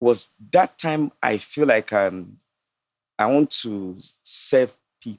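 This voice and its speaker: A man with a Nigerian accent at a medium pitch, a very slow pace, lively intonation, long, frequent pauses and big swings in loudness. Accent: Nigerian (Yoruba) English. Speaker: entrepreneur and astrologer. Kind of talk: casual debate on a podcast. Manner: animated.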